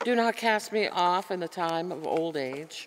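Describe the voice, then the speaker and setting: Here a woman speaks at a fairly low pitch. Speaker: lay reader at morning prayer. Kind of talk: scripture reading. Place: church. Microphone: podium.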